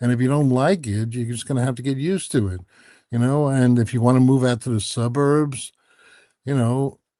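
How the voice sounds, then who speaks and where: A man with a New York accent speaks at a medium pitch in a dark, mellow tone with ordinary pitch variation. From New York City (Queens). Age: 70s. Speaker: author. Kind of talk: interview conversation. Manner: halting.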